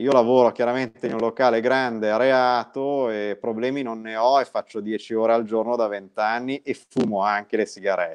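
A plain, everyday voice belongs to this man, who speaks at a moderate pace in a medium pitch with fairly even intonation. He talks with hardly any pauses against a quiet background. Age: 40s. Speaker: guest. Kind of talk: casual interview. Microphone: video call.

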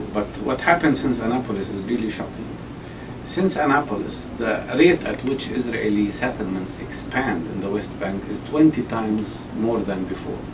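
Speaking at a moderate pace with an Arabic accent, a man uses lively intonation over noticeable background noise. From Palestine (Jerusalem); Palestine. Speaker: Palestinian politician and medical doctor; Palestinian politician. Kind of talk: interview. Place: office.

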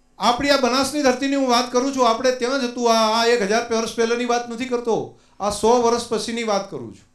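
An extremely high-pitched man in a monotone, flat delivery, big swings in loudness, audible room echo over a quiet background. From Gujarat, India. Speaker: dairy cooperative chairman. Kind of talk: public speech. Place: hall. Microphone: handheld.

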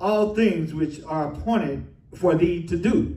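The speech moves at a fairly slow pace, with audible room echo around it. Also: man. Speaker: preacher. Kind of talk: sermon scripture reading. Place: church.

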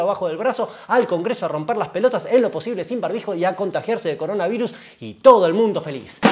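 In a Rioplatense accent, a man with a high pitch speaks with lively intonation. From Argentina. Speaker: gear channel host. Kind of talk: stand-up comedy rant. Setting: live stream. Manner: sarcastic, rambling. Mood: sarcastic, exasperated. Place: studio.

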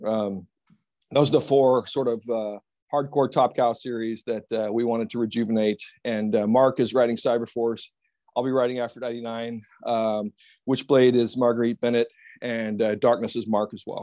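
A man speaks at a moderate pace in a flat monotone with a dark, mellow tone. The background is quiet. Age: 50s. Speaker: comic book writer and publisher; comic book writer. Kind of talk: interview. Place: home room. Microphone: earbuds.

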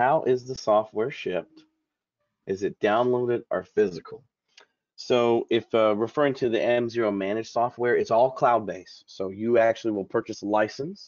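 A medium-pitched man with a Southern US accent. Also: ordinary pitch variation, moderate pace. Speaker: software support engineer. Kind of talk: webinar presentation. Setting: video call webinar. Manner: friendly, casual, hesitant with fillers.

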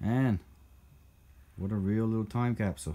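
A man with a fairly low pitch, fairly even intonation and a moderate pace. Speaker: vehicle hobbyist vlogger. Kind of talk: casual vlog chat. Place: garage. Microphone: phone near.

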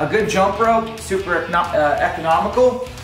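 Over clear background music, a man speaks at a moderate pace with ordinary pitch variation. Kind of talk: casual equipment walkthrough. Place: garage.

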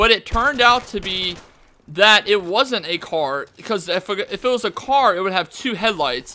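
Lively intonation marks this man's raised, projected voice. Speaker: gaming youtuber. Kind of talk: casual gameplay commentary storytelling. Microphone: studio mic.

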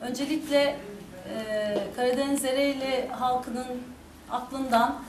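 Very slowly and with fairly even intonation, a woman speaks at a high pitch in a room with audible echo and light background noise. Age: 50s. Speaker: mayoral candidate, politician; candidate, politician. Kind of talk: campaign speech. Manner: hesitant, many filler sounds.

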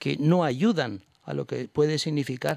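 The speaker is a man. His voice sounds dry with no echo, over a quiet background. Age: 60s. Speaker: bishop. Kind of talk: radio interview. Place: studio. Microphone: studio mic.

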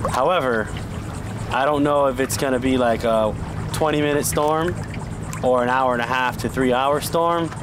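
A man's voice with very even loudness and ordinary pitch variation, over noticeable background noise. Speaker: guest. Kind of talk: casual vlog chat. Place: boat.

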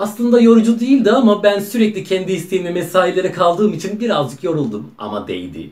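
A man is speaking. His voice has some breathiness. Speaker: actor playing a factory worker on a phone call. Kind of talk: acted phone call monologue, casual. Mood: happy, proud. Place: home room. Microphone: camera far.

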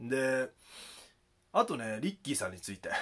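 A man's fairly quick delivery with lively intonation. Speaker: YouTuber; rap commentary vlogger. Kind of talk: video commentary. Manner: calm and earnest. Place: home room.

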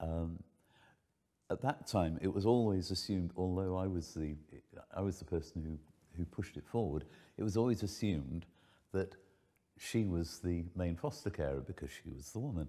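Over a quiet background, a man with a very deep, low pitch and a dark, mellow tone speaks at a moderate pace, using ordinary pitch variation and long, frequent pauses. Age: 70s. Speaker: foster carer. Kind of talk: casual chat. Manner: halting. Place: home room.

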